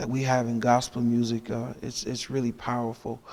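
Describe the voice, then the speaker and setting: The delivery is monotone and flat, at a moderate pace. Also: man. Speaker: pastor and gospel singer. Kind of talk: casual interview. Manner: halting, many fillers.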